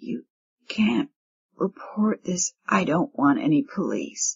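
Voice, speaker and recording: A woman uses a put-on character voice that is raspy, at a medium pitch. It moves at a fairly slow pace with very wide pitch swings. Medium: read story. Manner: terse, evasive.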